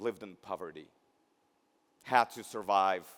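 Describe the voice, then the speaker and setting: Slowish at a fairly slow pace, a man is speaking. He has a Russian accent. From Belarus. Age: 50s. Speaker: keynote speaker, healthcare education executive. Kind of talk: keynote speech. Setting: graduation ceremony.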